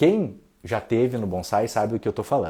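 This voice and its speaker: Somewhat breathy and dark, mellow in tone, a man's medium-pitched voice moves at a fairly quick pace. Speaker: bonsai teacher. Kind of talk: livestream talk. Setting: Instagram live. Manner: speaks softly at one point.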